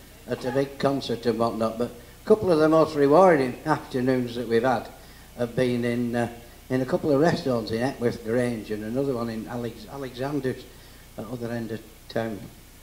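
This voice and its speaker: A man with a Lancashire accent, fairly quick pace and fairly even intonation. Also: medium pitch for a man. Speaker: folk entertainer and dance caller. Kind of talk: live talk to an audience. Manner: chatty, humorous.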